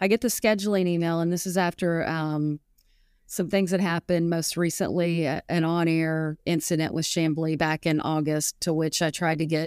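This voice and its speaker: A woman's unremarkable speaking voice with an American accent, fairly low in pitch, fairly even in intonation, at a moderate pace, dry and close with no echo, on a very clean recording with a silent background. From Arkansas, US South. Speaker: golf analyst and author. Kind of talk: interview.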